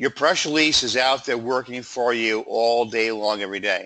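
A man's medium-pitched voice comes across with a bright, sharp tone. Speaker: webinar presenter. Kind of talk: webinar presentation. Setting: online webinar. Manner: filler-heavy, repeats words.

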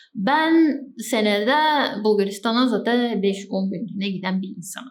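A woman talks at a moderate pace with a fairly high pitch and ordinary pitch variation. Her loudness swings widely. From Bulgaria, Turkish minority village. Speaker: travel vlogger. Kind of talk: casual talk to camera. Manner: chatty, informal.

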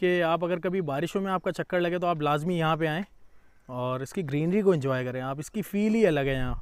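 In a dry sound with no echo and a quiet background, a man talks at a moderate pace in a high pitch with ordinary pitch variation. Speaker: travel vlogger. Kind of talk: casual vlog chat. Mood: cheerful, relaxed. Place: open country. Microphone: phone near.

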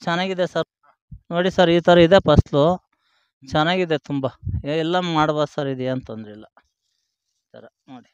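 A man with an ordinary speaking voice, fairly high in pitch and with big swings in loudness, in a dry sound with no echo against a quiet background. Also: ordinary pitch variation. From Hassan district, Karnataka; Karnataka, India. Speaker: tomato farmer. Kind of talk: casual field interview. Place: farm. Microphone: handheld.

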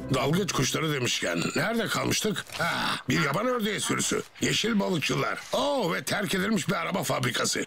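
A man does a cartoonish character voice, fairly high-pitched with big pitch swings, vocal fry, and a bright, sharp tone. He speaks with few pauses while faint music plays in the background. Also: moderate pace.

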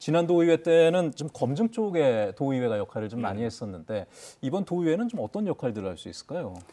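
At a fairly quick pace, a man with a fairly high pitch and a dark, mellow tone makes very wide pitch swings. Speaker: current affairs TV host. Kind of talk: TV current affairs discussion. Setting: studio. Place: studio. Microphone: lapel.

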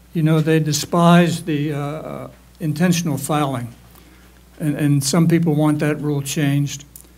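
A man's somewhat breathy, fairly high-pitched voice with an American accent, monotone and flat, at a fairly slow pace. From Pittsburgh, Western Pennsylvania. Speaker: dentist and council candidate; council candidate. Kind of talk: candidate forum. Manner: halting. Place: classroom. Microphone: handheld.

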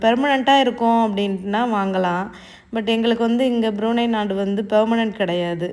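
In a room with audible echo, a woman speaks at a fairly high pitch. Her intonation is fairly even. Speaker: cooking and lifestyle vlogger. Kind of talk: vlog narration. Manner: casual conversational.

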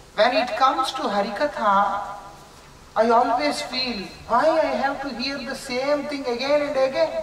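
A man speaks with an extremely high pitch and ordinary pitch variation at a fairly slow pace, leaving long, frequent pauses. There is audible room echo and light background noise. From India. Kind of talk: spiritual lecture. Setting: lecture with consecutive Russian interpretation. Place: home room. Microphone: camera far.

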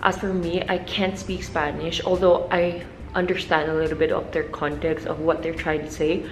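A woman speaks in an ordinary speaking voice at a fairly low pitch and a moderate pace. Her intonation is fairly even, with light background noise. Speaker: travel vlogger. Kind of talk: casual vlog chat. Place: home room. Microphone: phone near.

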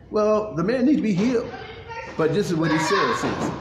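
A man's voice against noticeable background noise. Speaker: pastor. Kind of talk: sermon recap, casual preaching. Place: hall.

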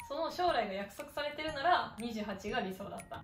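Clear music runs in the background. A woman's voice sits on top of it. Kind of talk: casual conversation. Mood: earnest, reflective. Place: home room. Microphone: camera far.

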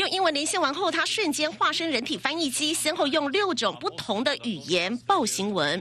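In a raised, projected voice, a woman speaks high-pitched with very wide pitch swings and hardly any pauses, amid noticeable background noise. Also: moderate pace. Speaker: TV news reporter. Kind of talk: TV news report voiceover.

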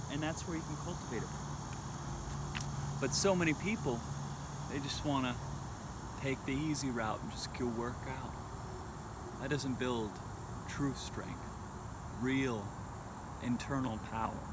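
A man speaks fairly slowly with long, frequent pauses, the sound dry with no echo. Loud background noise fills the recording. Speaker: spiritual fitness vlogger. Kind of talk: casual vlog chat. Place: open country. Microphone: phone near.

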